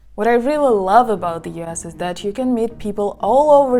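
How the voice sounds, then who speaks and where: A woman speaks in a Russian accent at a moderate pace. Her intonation is lively. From Siberia, Russia. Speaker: vlogger. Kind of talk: casual vlog talk.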